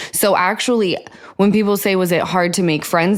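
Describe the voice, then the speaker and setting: Fairly quick speech from a woman at a medium pitch, with noticeable background noise. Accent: American. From Utah. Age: 30s. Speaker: podcast host. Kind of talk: casual interview chat.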